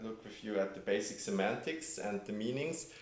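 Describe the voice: A man with a fairly low voice speaks in strong room echo.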